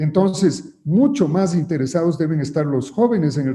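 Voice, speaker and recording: The man's somewhat breathy voice has a dark, mellow tone and ordinary pitch variation. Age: 70s. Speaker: politician. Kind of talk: interview. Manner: hesitant, with filler sounds and repeated words.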